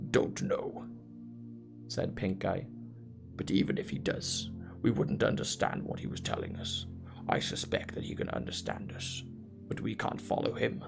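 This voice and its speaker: Clear music plays behind a man doing a solemn put-on character voice at a moderate pace, with long, frequent pauses. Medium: read story. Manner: solemn, portentous.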